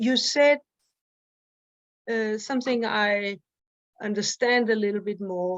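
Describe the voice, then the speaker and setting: The speech comes at a very slow pace with a non-native accent and fairly even intonation. The sound is dry and close with no echo over a quiet background. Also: woman. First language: not English. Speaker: study group participant. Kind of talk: casual discussion. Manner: halting.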